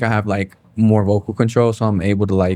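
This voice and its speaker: This man talks in a fairly low pitch with monotone, flat intonation. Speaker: musician. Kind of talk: interview. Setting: sit-down interview. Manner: casual, many fillers.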